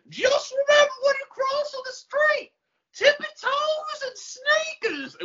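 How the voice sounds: Pitched extremely high, the put-on character voice unfolds fairly slowly.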